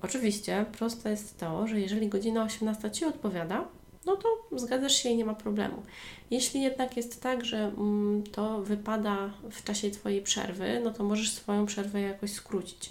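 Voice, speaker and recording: With noticeable background noise behind her, a woman speaks at a moderate pace, her fairly high voice showing ordinary pitch variation. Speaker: online language tutor and podcast host. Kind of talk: solo educational podcast monologue.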